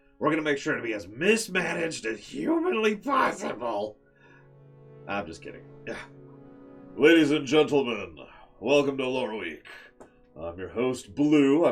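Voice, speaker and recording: With music in the background, a man speaks in a playful tone, his pitch swinging very widely between long, frequent pauses. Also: fairly high pitch for a man, moderate pace, big swings in loudness. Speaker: stream host. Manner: playful, jokey; excitable, rambling.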